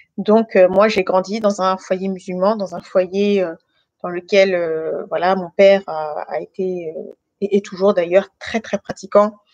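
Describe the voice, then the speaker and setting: Dry and close with no echo, a woman's monotone, flat voice at medium pitch moves at a fairly slow pace. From France, Guinean family. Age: 30s. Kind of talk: testimony. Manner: hesitant, many fillers.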